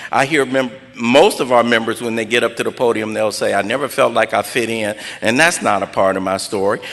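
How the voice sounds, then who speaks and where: Someone with an American accent talks at a fairly quick pace with ordinary pitch variation against noticeable background noise. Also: man, medium pitch for a man. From Los Angeles (South Central, Watts). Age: 60s. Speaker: recovery speaker. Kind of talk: personal testimony at an AA meeting.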